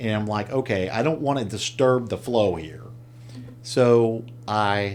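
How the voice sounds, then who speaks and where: A man at a medium pitch with audible room echo. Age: 50s. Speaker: entrepreneur. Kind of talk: casual chat.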